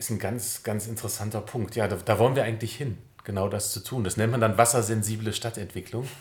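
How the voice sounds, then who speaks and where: A man speaks at a very fast pace in a fairly low pitch. His voice is somewhat breathy and his intonation monotone and flat. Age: 40s. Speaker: civil engineer in city administration. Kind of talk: interview.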